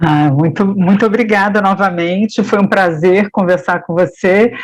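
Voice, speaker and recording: A woman speaks at a fairly slow pace in a medium pitch, with ordinary pitch variation. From Brazil, Paraná (Ponta Grossa). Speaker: interviewer. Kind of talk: interview. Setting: web radio.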